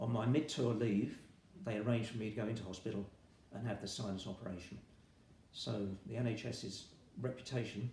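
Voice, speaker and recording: Amid audible room echo, a man with a somewhat breathy, dark, mellow tone speaks at a fairly quick pace and medium pitch, with ordinary pitch variation. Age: 70s. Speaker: retired army veteran, patient. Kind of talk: interview testimony.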